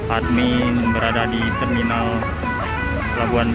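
Loud music plays behind a man whose pitch varies in an ordinary way, the sound dry with no echo. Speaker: channel host filming. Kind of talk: casual vlog commentary. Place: station. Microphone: phone near.

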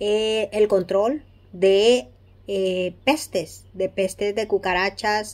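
A woman speaks at a slow pace. Her pitch sits in the medium range.

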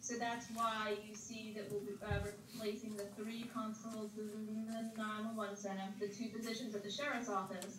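A woman speaks at a moderate pace in a monotone, flat delivery, with audible room echo and light background noise. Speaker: presenter. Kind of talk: briefing answer to board questions. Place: hall.

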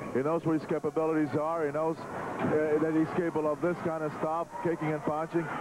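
The recording is dry with no echo but has noticeable background noise as a man talks at a fairly quick pace. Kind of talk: wrestling commentary. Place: hall.

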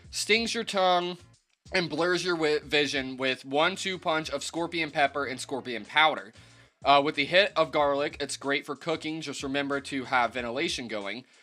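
A man talks with typical rises and falls in pitch. Soft music can be heard behind him. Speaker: hot sauce reviewer. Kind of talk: casual vlog chat. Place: home room. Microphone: phone near.

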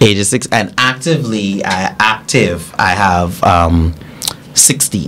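Light background noise sits behind a man speaking at a very slow pace. His pitch is fairly low, and his intonation is lively. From Bahamas, Grand Bahama; Bahamas. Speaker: pageant coach and organizer; pageant coach. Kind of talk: casual interview. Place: studio. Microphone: studio mic.

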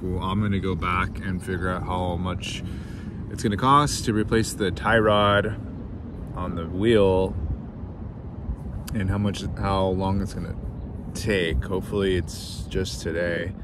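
Over clear background noise, a man talks at a fairly slow pace in a low voice, with little pitch movement and long, frequent pauses.

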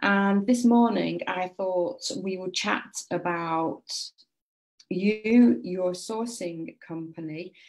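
A woman with a British accent and medium pitch speaks very slowly, using ordinary pitch variation and big swings in loudness. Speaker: property sourcing compliance coach. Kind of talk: casual live chat to viewers.

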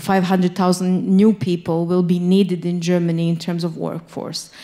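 Against a quiet background, a dark, mellow voice moves at a moderate pace with monotone, flat intonation. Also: woman. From Bosnia, Sarajevo; Bosnia. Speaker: think tank director; panelist. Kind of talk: panel discussion. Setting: stage with audience. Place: hall. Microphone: handheld.

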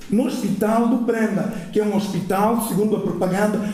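Audible room echo surrounds a man speaking at a moderate pace in a high pitch. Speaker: audience member. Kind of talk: audience remarks. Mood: emotional, personal grief. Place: hall.

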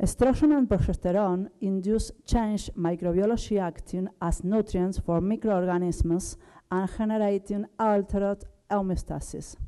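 A woman speaks at a moderate pace with fairly even intonation and a dark, mellow tone. The background is quiet. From Argentina. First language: Spanish. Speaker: dentist and microbiology researcher. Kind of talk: conference talk. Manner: halting, with frequent fillers. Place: hall. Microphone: podium.

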